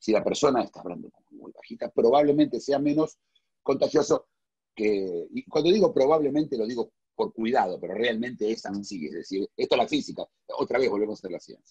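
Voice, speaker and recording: Talking at a fairly quick pace, a man shows big swings in loudness, with a dry, close sound and no echo. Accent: Argentine. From Argentina. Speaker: philosopher. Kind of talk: casual chat. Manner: halting.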